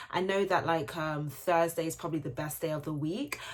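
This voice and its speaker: Speaking at a fairly quick pace, a woman with a British accent uses a fairly low pitch and ordinary pitch variation. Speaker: beauty YouTuber. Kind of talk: casual chat. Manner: fast; animated.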